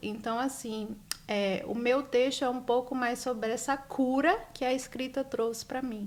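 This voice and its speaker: Her intonation remains fairly even. The woman's voice is high in pitch. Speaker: author. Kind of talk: interview. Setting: live stream.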